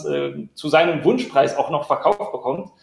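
A man with a fairly high-pitched, plain, everyday voice. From Berlin. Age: 30s. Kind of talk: live-stream interview.

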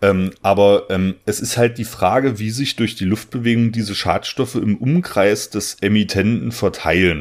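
A man with an ordinary speaking voice talks at a moderate pace, his fairly low pitch moving with ordinary variation and hardly any pauses. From southern Saxony-Anhalt, Germany. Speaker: soil science podcast host. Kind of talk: casual chat. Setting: remote recording.

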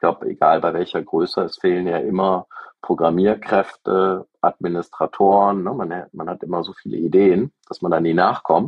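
His voice is very deep and low in pitch. The man keeps a moderate pace and fairly even intonation. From Germany, Aachen. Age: 40s. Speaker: software company founder and CEO. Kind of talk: interview. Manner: hesitant, many fillers.

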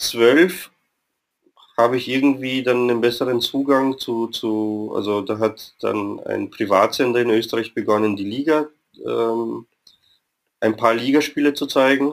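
A man's medium-pitched voice, fairly slow and fairly even in intonation, broken by long, frequent pauses. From Vienna, Austria. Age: 30s. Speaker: football fan club member. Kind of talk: interview.

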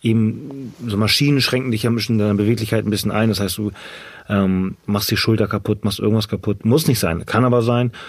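Fairly even intonation and a medium pitch from a man with an ordinary speaking voice. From northern Germany, Ahrensburg near Hamburg. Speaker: personal trainer and CrossFit athlete. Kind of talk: interview, casual chat.

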